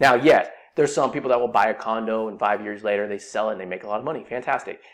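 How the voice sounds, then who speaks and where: A man with an American accent at a very fast pace, medium in pitch, with ordinary pitch variation. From California, Silicon Valley. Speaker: personal finance podcast host. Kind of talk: solo podcast explainer. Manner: conversational with frequent fillers.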